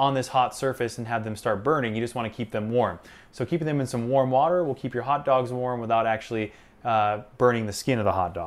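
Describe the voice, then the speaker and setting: This man talks at a very fast pace, his pitch varying in an ordinary way. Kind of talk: tutorial. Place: kitchen. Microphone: lapel.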